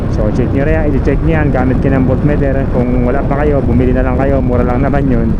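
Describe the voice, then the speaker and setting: A man with a very deep, low pitch talks at a fairly quick pace, with hardly any pauses, very even loudness and fairly even intonation. There is audible room echo and noticeable background noise. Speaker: motorcycle vlogger. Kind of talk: casual vlog tutorial. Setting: outdoors on a motorcycle ride.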